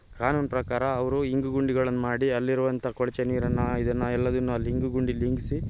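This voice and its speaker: Noticeable background noise is audible. A man talks over it at a medium pitch. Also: very even loudness. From Karnataka, Sringeri (Malnad). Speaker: local activist. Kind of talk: vlog-style protest appeal. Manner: animated.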